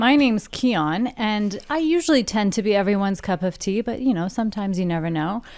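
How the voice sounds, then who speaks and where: With an unremarkable speaking voice at a medium pitch, a woman talks fairly quickly with lively intonation and hardly any pauses, in a very clean recording with a silent background. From Canada. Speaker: podcast co-host. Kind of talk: casual chat.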